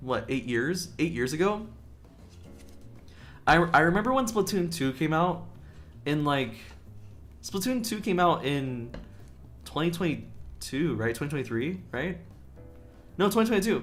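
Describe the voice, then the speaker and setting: With audible room echo, a man talks at a moderate pace and fairly high pitch, showing very wide pitch swings, vocal fry, and long, frequent pauses. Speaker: vtuber streamer. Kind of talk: casual chat. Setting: livestream. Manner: stuttering.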